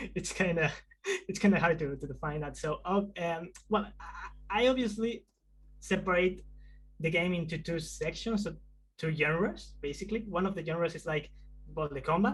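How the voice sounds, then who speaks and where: Speaking in a Spanish accent at a moderate pace, a man with a high pitch uses ordinary pitch variation and takes long, frequent pauses. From Spain. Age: 20s. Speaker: indie game developer. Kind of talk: video interview. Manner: halting, many fillers.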